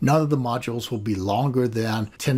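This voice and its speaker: A man speaks at a moderate pace in a somewhat breathy, medium-pitched voice with ordinary pitch variation. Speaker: philosophy professor. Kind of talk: recorded lecture orientation.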